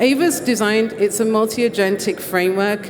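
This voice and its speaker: The speaker has a British accent and a moderate pace. Pitch varies in an ordinary way, over noticeable background noise. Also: woman. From Britain. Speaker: conference presenter. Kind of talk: presentation talk.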